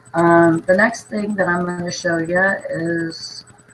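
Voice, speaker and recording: Over noticeable background noise, a woman with a fairly low pitch speaks at a very slow pace with ordinary pitch variation. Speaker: thrift reseller vlogger. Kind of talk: casual haul video talk.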